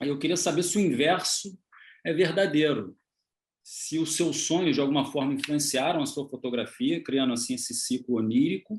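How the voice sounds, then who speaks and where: A man's plain, everyday voice, fairly high in pitch, at a moderate pace with lively intonation over a quiet background. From Brazil. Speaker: photographer interviewer. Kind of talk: interview conversation. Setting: video call.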